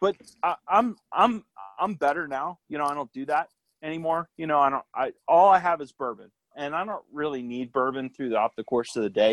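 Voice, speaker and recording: An unremarkable speaking voice moves at a moderate pace with lively intonation, in a dry, close sound with no echo. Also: man, fairly high pitch for a man. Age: 40s. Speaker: army veteran. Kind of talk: casual chat.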